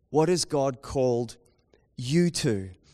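A man speaks with a New Zealand accent at a medium pitch. His tone is dark and mellow, and his intonation is lively. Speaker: pastor. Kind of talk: sermon. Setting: church with live audience.

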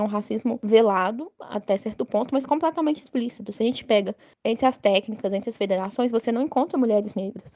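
A woman with a fairly high, dark, mellow voice talks at a very fast pace with hardly any pauses and ordinary pitch variation, the sound dry and close with no echo. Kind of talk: interview.

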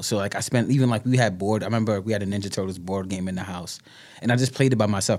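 Someone with a New York accent speaks at a very fast pace with ordinary pitch variation. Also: man. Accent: New York (Bronx). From New York, the Bronx. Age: 30s. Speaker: speaker and writer. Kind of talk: casual interview chat.

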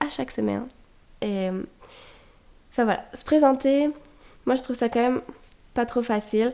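With a dark, mellow tone, this woman's voice shows ordinary variation in pitch. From France. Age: 20s. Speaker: podcast host. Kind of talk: casual monologue. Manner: hesitant, frequent fillers.

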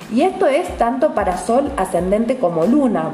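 At a fairly slow pace, a woman speaks with audible room echo and noticeable background noise. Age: 30s. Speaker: astrologer. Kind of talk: casual monologue podcast. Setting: home apartment.

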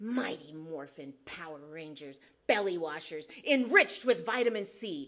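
A woman uses a put-on character voice at a moderate pace. Her pitch is fairly low and swings very widely. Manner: heroic, announcer-like.

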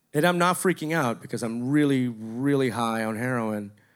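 A man with an American accent at a moderate pace, on a very clean recording with a silent background. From Miami, Florida. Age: 40s. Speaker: office worker telling a story. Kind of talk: live storytelling on stage. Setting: stage with audience.

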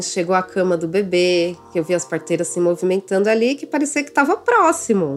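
A woman talks at a fairly quick pace and a medium pitch. Noticeable background noise runs under her voice. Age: 30s. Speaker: mother telling her birth story. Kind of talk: personal testimony.

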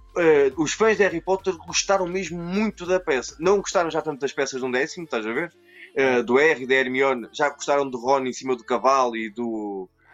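With a Portuguese accent and lively intonation, a man talks at a fairly quick pace over music in the background. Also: fairly high pitch for a man. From Portugal, born in Brazil. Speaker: toy collector, video creator. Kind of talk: casual chat.

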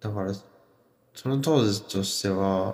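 Somewhat breathy, a man speaks at a fairly slow pace with a fairly low pitch. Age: 20s. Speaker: podcast host. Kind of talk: casual monologue on music and internet culture. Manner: hesitant, many fillers.

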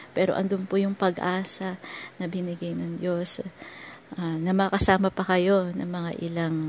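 The intonation is monotone and flat, at a fairly slow pace. Long, frequent pauses recur throughout. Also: woman. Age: 40s. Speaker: devotional teacher. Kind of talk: devotional talk.

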